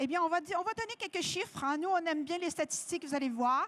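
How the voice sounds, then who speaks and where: A woman with a slight French-Canadian accent speaks at an extremely high pitch, her intonation lively. The sound is dry and close, with no echo. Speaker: nutritionist. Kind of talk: lecture. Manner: hesitant, many fillers.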